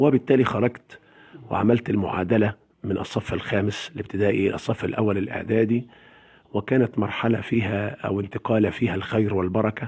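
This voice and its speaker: With fairly even intonation, a man speaks in a somewhat breathy voice at a moderate pace. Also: fairly low pitch for a man. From Egypt, Sharqia (Zagazig area). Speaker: Quran reciter. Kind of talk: interview.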